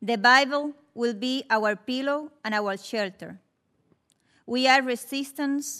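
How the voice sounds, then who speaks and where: A woman speaks very slowly in a high pitch with ordinary pitch variation. Her tone is bright and sharp. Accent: Spanish. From Cuba. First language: Spanish. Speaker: Cuban rights advocate, witness. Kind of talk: prepared testimony at hearing.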